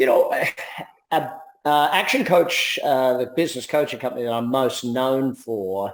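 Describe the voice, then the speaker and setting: This man speaks with an Australian accent at medium pitch. His pace is moderate, with ordinary pitch variation. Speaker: business coach and entrepreneur. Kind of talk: interview.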